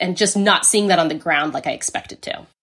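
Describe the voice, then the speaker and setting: Bright, sharp in tone, a woman speaks at a medium pitch with an American accent. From United States. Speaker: history professor. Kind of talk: interview.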